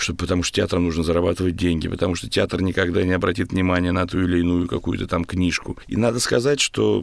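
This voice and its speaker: With a very deep, low pitch, a man speaks at a fairly quick pace using lively intonation. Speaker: theatre actor and director. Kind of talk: interview. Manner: trained stage speech.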